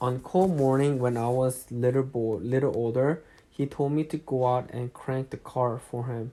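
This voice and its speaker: A man with a non-native accent talks at a moderate pace and a medium pitch, with a dark, mellow tone and fairly even intonation. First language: not English. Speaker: amateur audiobook reader. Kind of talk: reading aloud. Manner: halting, with self-corrections.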